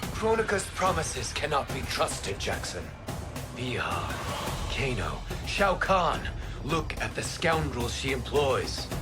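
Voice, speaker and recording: Loud music plays in the background as a man does a cartoonish character voice. His pace is fairly slow. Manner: measured, formal.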